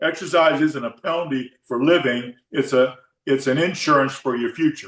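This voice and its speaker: With an unremarkable speaking voice, a man talks at a moderate pace, his pitch fairly high and his intonation fairly even. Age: 60s. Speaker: fitness coach. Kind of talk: casual chat.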